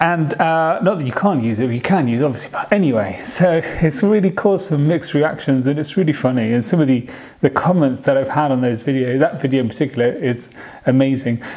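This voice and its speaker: With a British accent, a man talks at a fairly quick clip in a fairly high voice, his intonation lively over noticeable background noise. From United Kingdom. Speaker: vlogger. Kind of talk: casual vlog talk. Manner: halting.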